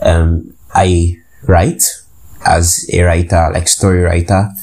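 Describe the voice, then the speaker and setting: A man speaks in a very deep, low, somewhat breathy voice. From Nigeria. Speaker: podcast host. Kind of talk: casual monologue. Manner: hesitant, many fillers.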